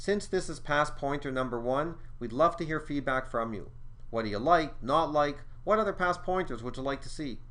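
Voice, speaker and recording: A man talks at a moderate pace in a fairly high voice with a bright, sharp tone. There is audible room echo. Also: ordinary pitch variation. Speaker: exam prep school co-director and instructor. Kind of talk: tutorial.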